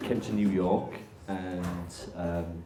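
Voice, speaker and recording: Music plays in the background. There is audible room echo. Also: man. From northern England, Barnsley. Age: 40s. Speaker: interviewer, therapist. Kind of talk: live interview with audience.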